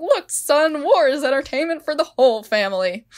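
A woman's high, put-on character voice with very wide pitch swings, at a moderate pace. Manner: gruff, boasting.

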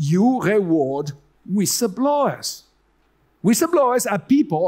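In an Italian accent, a man speaks at a very slow pace. His pitch is high, and the background is quiet. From Italy. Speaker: economics professor. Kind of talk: conference talk. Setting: stage with audience. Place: hall. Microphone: headset.

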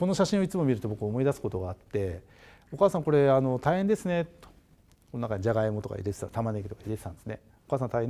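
The dark, mellow voice races along at a very fast pace and swings very widely in pitch. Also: man. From Japan, Hokkaido (Obihiro, Tokachi); Hokkaido, Japan. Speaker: agricultural design company director; guest lecturer. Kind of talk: lecture. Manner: hesitant, many filler sounds. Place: studio. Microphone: lapel.

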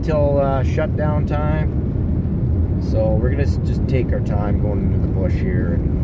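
Loud background noise surrounds a man whose voice comes through dry with no echo. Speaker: hunter vlogger. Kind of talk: casual vlog chat. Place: car. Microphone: phone near.

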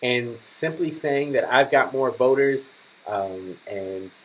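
Pitch varies in an ordinary way as a man speaks at a very slow pace. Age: 20s. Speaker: political commentary vlogger. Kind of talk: political commentary. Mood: critical, earnest. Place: home room. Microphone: webcam.

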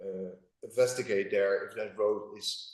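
A man speaks with a European accent. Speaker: property owner applicant. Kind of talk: public meeting presentation. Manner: hesitant, many fillers.

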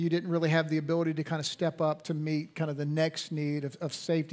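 A man speaks at a very fast pace in a monotone, flat intonation. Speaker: pastor. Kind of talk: sermon. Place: church. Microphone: headset.

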